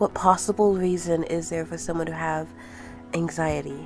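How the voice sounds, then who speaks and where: Over music in the background, a woman speaks with a fairly low pitch and fairly even intonation. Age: 20s. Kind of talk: personal spoken essay on mental health.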